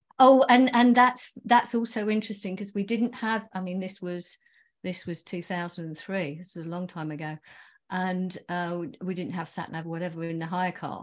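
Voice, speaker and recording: Using a plain, everyday voice, a woman speaks at a medium pitch and a moderate pace with ordinary pitch variation. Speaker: author. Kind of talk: interview.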